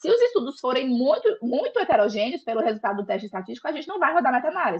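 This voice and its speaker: Her pitch high, a woman talks at a very fast pace. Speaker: lecturer on systematic reviews. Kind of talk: lecture.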